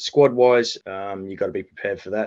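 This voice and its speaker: A man speaks with an Australian accent. The background is quiet. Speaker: national cricket team head coach. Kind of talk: interview. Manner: halting, many fillers. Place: home room. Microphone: video call.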